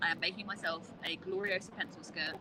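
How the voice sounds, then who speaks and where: Over noticeable background noise, a woman speaks at medium pitch. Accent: British. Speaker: crochet content creator. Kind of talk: casual chat. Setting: live stream in a public place. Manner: whispering.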